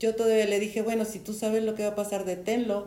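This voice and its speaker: A woman with a dark, mellow tone. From Mexico. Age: 70s. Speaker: storyteller sharing life anecdotes. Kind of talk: interview. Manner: halting.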